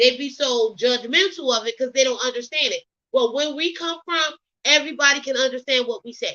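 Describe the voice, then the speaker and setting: A woman with an American accent speaks at a high pitch and a moderate pace. Her pitch varies in an ordinary way. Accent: Southern Geechee. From US South, Geechee (Gullah) region. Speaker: gossip commentary YouTuber. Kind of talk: casual commentary monologue.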